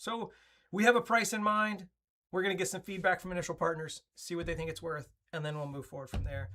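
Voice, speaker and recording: Talking at a very fast pace, the speaker is captured in a very clean recording with a silent background. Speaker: software company representative. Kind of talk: company update presentation. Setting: standing desk, video recording.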